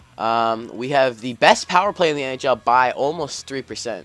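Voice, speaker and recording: With music playing behind him, a man speaks in a medium pitch with lively intonation. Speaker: gaming YouTuber. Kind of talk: gameplay commentary. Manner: fast; upbeat.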